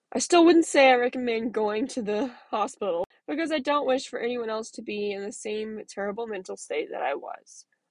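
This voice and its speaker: A woman with an unremarkable speaking voice talks at a moderate pace with hardly any pauses, using a fairly high pitch and lively intonation. Her loudness swings widely. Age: 20s. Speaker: podcast host sharing mental health story. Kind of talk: personal monologue.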